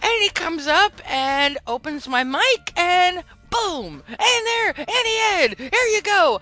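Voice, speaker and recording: A woman talks at a very slow pace, with hardly any pauses, in a raised, projected voice. Her pitch is extremely high and swings very widely. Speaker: podcast host. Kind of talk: casual chat. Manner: animated.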